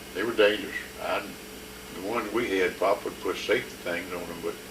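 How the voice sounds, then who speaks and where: A man talks at a fairly quick pace with a Southern US accent. Noticeable background noise runs underneath. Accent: Southern American. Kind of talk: interview answer. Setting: home video recording.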